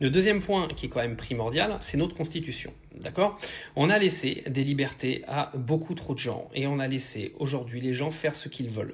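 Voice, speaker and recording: Speaking at a moderate pace with hardly any pauses, the man has a fairly high pitch, a somewhat breathy sound and ordinary pitch variation. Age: 30s. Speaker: online commentator. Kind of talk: video commentary. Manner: hesitant, many fillers.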